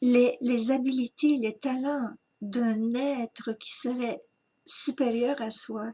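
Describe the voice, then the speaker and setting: A woman talks at a very slow pace with a high pitch, a dark, mellow tone and monotone, flat intonation. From Quebec. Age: 60s. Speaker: spiritual teacher. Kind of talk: spiritual talk.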